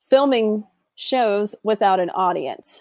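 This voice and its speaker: Speaking at a fairly slow pace with ordinary pitch variation, this is a plain, everyday voice captured with a dry, close sound and no echo. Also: woman. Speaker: guest. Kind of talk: casual chat.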